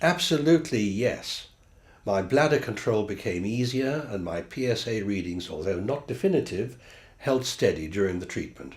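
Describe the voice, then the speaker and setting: At a moderate pace, a somewhat breathy man talks with very wide pitch swings. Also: medium pitch for a man. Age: 70s. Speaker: patient.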